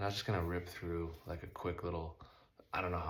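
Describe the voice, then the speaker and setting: Very fast and somewhat breathy, a man talks in a very deep, low pitch with monotone, flat intonation. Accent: American. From Southern California. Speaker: motocross rider and vlogger. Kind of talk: casual monologue.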